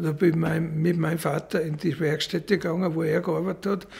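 This man has a high pitch for a man. His intonation stays fairly even. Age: 70s. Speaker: blacksmith. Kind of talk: documentary interview. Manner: halting, repetitive. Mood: reflective, warm storytelling. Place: workshop.

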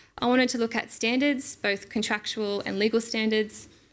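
Fairly even intonation holds as a woman speaks at a very fast pace. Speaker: conference presenter. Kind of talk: lecture. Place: hall. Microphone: podium.

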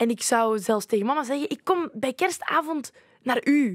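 Her voice sits at a high pitch with ordinary pitch variation. The woman is recorded dry with no echo over a quiet background. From Flanders, Belgium (Leuven); Flanders, Belgium. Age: 20s. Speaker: youth ambassador; podcast guest. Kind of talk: casual chat. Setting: studio. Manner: halting. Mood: reflective, personal, open. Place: studio. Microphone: studio mic.

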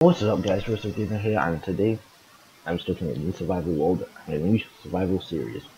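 A very fast man's voice, very deep and low in pitch, with ordinary pitch variation, over noticeable background noise. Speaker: gaming YouTuber. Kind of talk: casual let's play commentary.

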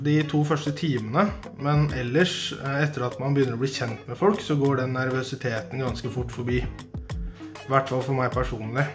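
A man talking with hardly any pauses over clear background music. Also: ordinary pitch variation, moderate pace. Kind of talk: casual answers to questions. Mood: friendly, relaxed. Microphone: phone near.

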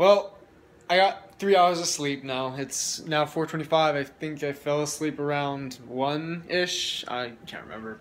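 This man speaks at a fairly slow pace. His pitch shows ordinary variation. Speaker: vlogger. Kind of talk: casual vlog chat. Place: home room. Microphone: phone near.

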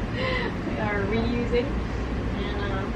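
A woman speaks over loud background noise. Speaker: sailing vlogger. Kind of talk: casual vlog chat. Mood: playful, festive. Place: boat. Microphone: camera far.

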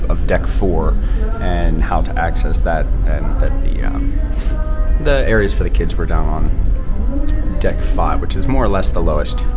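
As clear music plays behind him, this man talks fairly slowly. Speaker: cruise vlogger. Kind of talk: casual vlog tour narration. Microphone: phone near.

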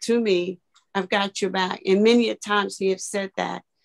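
Her intonation stays fairly even. The background is quiet. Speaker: church elder; guest. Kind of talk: testimony. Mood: earnest, reflective. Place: home room. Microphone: video call.

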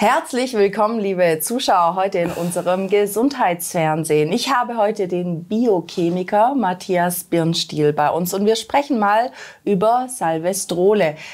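A woman talks at a fairly slow pace with hardly any pauses. Her pitch sits in the medium range. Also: lively intonation. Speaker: TV health show host. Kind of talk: interview conversation in a studio show. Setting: studio. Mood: friendly, welcoming. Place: studio. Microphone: lapel.

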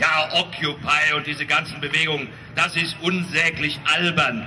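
Over light background noise, a man speaks in a raised, projected voice. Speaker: speaker, comedian. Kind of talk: satirical political speech. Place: street. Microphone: pa.

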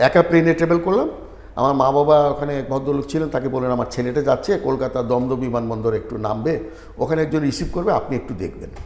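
A man whose pitch runs fairly high talks with the usual ups and downs in pitch over noticeable background noise. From Sylhet, Bangladesh. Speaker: retired medical professor and writer. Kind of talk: interview.

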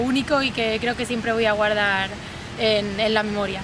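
A woman speaks with a fairly high pitch and monotone, flat intonation. Noticeable background noise runs underneath. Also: dry sound with no echo. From Spain. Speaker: triathlete. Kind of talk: interview monologue. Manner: halting, frequent word repetitions. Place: garden.

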